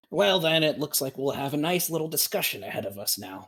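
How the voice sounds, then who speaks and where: A man performs a put-on character voice. It sits fairly high in pitch. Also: fairly quick pace. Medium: actual play. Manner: dry, grumpy.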